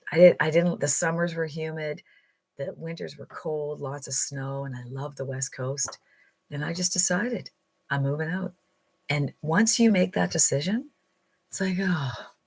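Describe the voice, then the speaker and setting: With a Canadian accent, a woman speaks at a moderate pace in a very deep, low pitch, somewhat breathy, with ordinary pitch variation, big swings in loudness, long and frequent pauses, and a quiet background. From central Canada. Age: 60s. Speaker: online income coach. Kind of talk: motivational livestream talk. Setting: live stream. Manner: animated.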